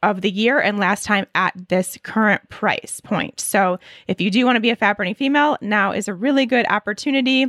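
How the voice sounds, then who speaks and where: A woman speaks at a medium pitch with ordinary pitch variation, recorded very cleanly against a silent background, with a dry, close sound and no echo. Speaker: podcast host and nutritionist. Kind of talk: solo podcast answering listener questions. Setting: recording at home with construction noise outside. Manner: speaking louder than usual.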